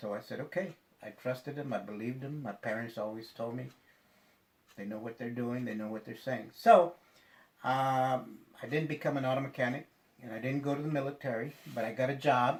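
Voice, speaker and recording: A man with an American accent, medium-pitched, talking at a fairly quick pace with fairly even intonation and long, frequent pauses. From Texas, San Antonio (West Side). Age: 60s. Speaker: attorney. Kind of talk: interview. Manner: hesitant, many fillers.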